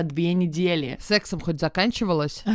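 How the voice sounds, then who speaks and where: An unremarkable speaking voice at a moderate pace. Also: woman. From post-Soviet Russia. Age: 30s. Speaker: podcast co-host, stylist. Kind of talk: casual chat.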